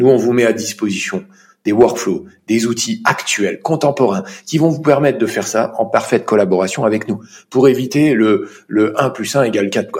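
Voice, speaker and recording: Here is a man with an unremarkable speaking voice and medium pitch. He keeps a moderate pace with lively intonation. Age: 40s. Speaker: chartered accountant. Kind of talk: interview.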